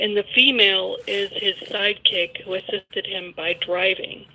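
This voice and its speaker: With noticeable background noise behind her, a woman speaks at a fairly slow pace. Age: 60s. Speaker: caller. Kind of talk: phone-in call. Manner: soft-spoken.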